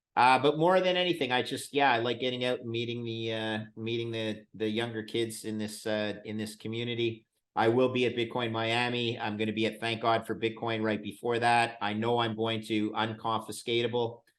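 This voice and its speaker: A man with an unremarkable speaking voice talks at a moderate pace and a medium pitch, using fairly even intonation and hardly any pauses. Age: 60s. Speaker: bitcoin fund manager. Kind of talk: interview.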